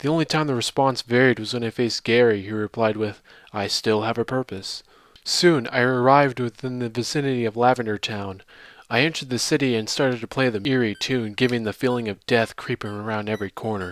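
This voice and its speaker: In a very clean recording with a silent background and a dry, close sound with no echo, a man uses an ordinary speaking voice at medium pitch, with fairly even intonation and a fairly quick pace. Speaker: voice-over narrator. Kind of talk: horror story narration.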